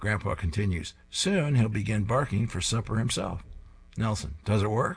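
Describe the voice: What this recording holds is plain reading aloud.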